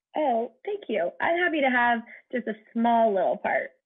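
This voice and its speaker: Her pitch is fairly high, and this woman speaks in a normal speaking voice. She keeps a moderate pace with ordinary pitch variation. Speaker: matchmaker and podcast host. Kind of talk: podcast interview.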